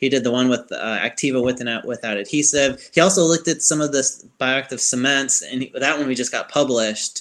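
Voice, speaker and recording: Speaking with fairly even intonation, a man with an American accent has an unremarkable speaking voice. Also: medium pitch for a man, fairly quick pace. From Chicago, US Midwest. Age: 30s.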